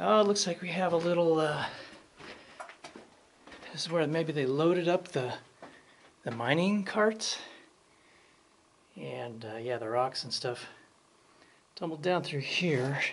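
The speech moves at a fairly slow pace with long, frequent pauses over light background noise. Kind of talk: casual vlog commentary. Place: tunnel cave. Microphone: phone near.

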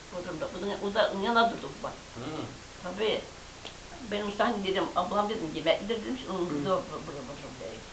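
Over noticeable background noise, a woman speaks at a medium pitch and moderate pace, with big swings in loudness and ordinary pitch variation. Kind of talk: oral history interview answer.

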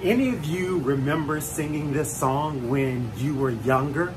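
Man with an American accent and ordinary pitch variation amid noticeable background noise. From US South. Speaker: motivational speaker. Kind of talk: motivational talk. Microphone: phone near.

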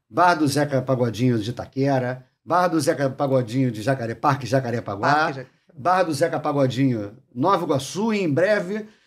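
This man has a Carioca accent and a fairly high pitch. He talks at a moderate pace. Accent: carioca Brazilian Portuguese. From Rio de Janeiro, Brazil. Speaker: chef and bar owner; podcast guest. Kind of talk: casual chat; interview answer. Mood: relaxed, joking, smiling. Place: studio. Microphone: studio mic.

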